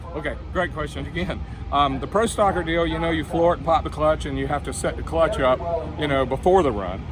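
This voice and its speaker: A man talks at a fairly quick pace. The recording has noticeable background noise and audible room echo. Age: 60s. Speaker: retired drag racing champion and motorcycle racer. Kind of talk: interview.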